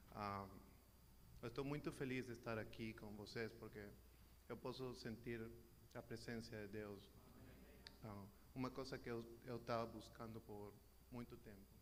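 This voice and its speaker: With a Peruvian accent and vocal fry, a man speaks at a fairly low pitch, leaving long, frequent pauses in a room with audible echo. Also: ordinary pitch variation, moderate pace. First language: Spanish (speaking Portuguese). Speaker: church member. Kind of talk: testimony. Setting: church. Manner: halting.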